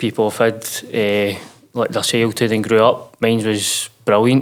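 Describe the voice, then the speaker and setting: Speaking at a moderate pace with a Lanarkshire accent, a man uses a medium pitch. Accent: Scottish (Lanarkshire). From Scotland, Uddingston near Glasgow. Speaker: mental health podcast guest, clothing brand founder. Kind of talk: casual interview.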